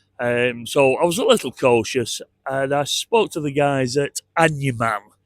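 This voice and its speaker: A man with a northern English accent speaks at a fairly high pitch with ordinary pitch variation. The recording is very clean, with a silent background and a dry, close sound with no echo. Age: 60s. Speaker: travel vlogger. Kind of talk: casual vlog walk-through narration. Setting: outdoors. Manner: conversational, hesitant with fillers.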